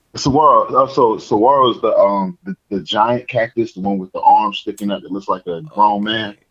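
The speaker talks at a fairly quick pace with hardly any pauses, in an American accent. Loudness swings widely throughout. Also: man. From US South, Georgia. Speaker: podcast co-host. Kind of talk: casual chat.

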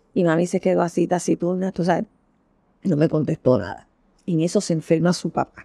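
The sound is dry and close, with no echo. A woman speaks at a fairly low pitch. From Puerto Rico, Santurce (San Juan). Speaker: social worker. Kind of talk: oral history interview. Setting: at home.

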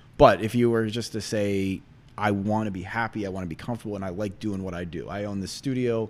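A man talks at a very fast pace, his intonation fairly even. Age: 40s. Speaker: financial representative. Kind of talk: casual interview. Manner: fast talker; high energy.

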